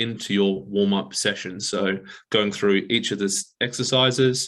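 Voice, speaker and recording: A man with an Australian accent mumbles in a fairly low pitch and fairly even intonation against a quiet background. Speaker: exercise physiologist. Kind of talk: webinar presentation. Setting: online webinar. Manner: mumbling.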